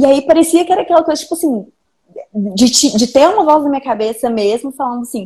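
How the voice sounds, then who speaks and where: Her pitch is high, with very wide pitch swings. The woman keeps a moderate pace. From Minas Gerais, Belo Horizonte. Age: 20s. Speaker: video editor. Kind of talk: casual chat.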